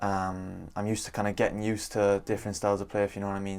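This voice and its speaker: Speech comes at a very fast pace in an Irish accent, with monotone, flat intonation. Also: man. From Ireland. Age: 20s. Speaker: professional footballer. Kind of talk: interview. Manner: halting, many fillers.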